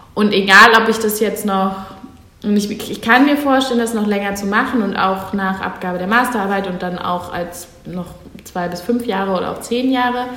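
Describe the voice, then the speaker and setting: With noticeable background noise and audible room echo, a woman at a medium pitch talks at a moderate pace with fairly even intonation. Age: 20s. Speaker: political science master's student and civic initiative founder. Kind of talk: podcast interview.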